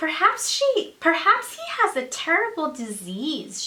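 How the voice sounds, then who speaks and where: Using a put-on character voice, a woman speaks in a raised, projected voice at an extremely high pitch, swinging very widely in pitch at a fairly slow pace. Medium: read story. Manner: anxious, shrill.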